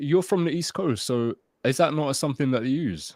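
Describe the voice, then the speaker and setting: On a very clean recording with a silent background and a dry, close sound with no echo, a man speaks at a fairly high pitch. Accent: London. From London suburbs, England. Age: 30s. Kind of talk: casual interview chat.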